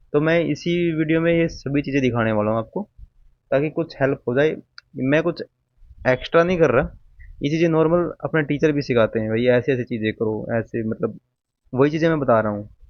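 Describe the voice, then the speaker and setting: Long, frequent pauses break up a man's speech at a moderate pace. His pitch is fairly high, with ordinary variation. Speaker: exam aspirant youtuber. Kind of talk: casual tutorial. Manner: informal, conversational.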